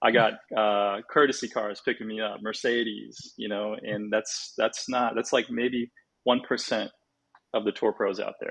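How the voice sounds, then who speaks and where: A man with a West Coast US accent speaks at a fairly slow pace. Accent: General American (West Coast). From California, San Francisco Bay Area. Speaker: golf teaching professional, former tour player. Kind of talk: podcast interview. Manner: casual, many fillers.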